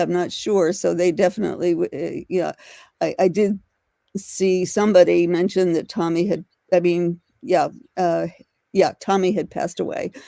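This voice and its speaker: A woman's dark, mellow tone with fairly even intonation, in a very clean recording with a silent background and a dry, close sound with no echo. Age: 70s. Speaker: interviewee recalling the 1960s drug scene. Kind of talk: interview recollection. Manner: halting, many fillers.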